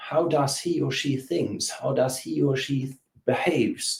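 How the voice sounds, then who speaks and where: With a German accent, a man speaks fairly slowly at a fairly high pitch, using ordinary pitch variation. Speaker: business coach. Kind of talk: interview. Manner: halting.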